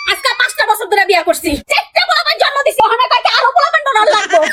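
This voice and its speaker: A woman puts on a character voice at an extremely high pitch, with very wide pitch swings. She talks at a fairly quick pace, her loudness very even. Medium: comedy sketch. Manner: loud, combative.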